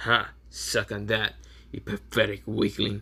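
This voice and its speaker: A man puts on a cackling character voice at a fairly low pitch. He speaks at a fairly slow pace. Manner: cackling, gloating.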